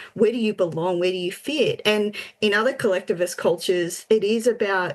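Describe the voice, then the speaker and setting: With an Australian accent, the speaker talks at a fairly quick pace with ordinary pitch variation. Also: woman, medium pitch for a woman. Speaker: podcast co-host. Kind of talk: casual chat.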